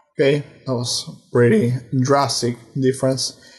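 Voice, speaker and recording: At a very slow pace, a man speaks in a somewhat breathy voice of medium pitch, with monotone, flat intonation. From Argentina. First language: Portuguese and Spanish. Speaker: music production student. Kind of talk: tutorial.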